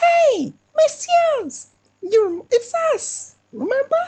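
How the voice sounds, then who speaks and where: A female-sounding voice puts on a squeaky character voice at an extremely high pitch. It moves at a very slow pace with very wide pitch swings. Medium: game stream. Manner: loud, cheery.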